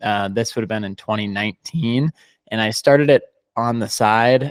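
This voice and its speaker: Heard with an ordinary speaking voice, a man talks at a moderate pace and medium pitch, the sound dry and close with no echo in a very clean recording with a silent background. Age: 20s. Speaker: digital marketing agency founder. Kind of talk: podcast interview.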